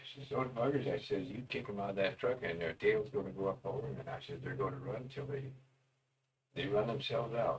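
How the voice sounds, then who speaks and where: Vocal fry runs through this man's speech, delivered at a fairly quick pace with ordinary pitch variation. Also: medium pitch for a man. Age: 80s+. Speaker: old cowboy storyteller. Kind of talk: casual storytelling monologue. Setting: self-recorded on tape. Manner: folksy, meandering.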